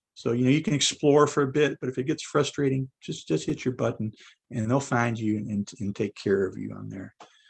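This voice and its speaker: A soft-spoken man with a medium pitch talks at a fairly quick pace. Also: ordinary pitch variation. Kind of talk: podcast interview. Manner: halting.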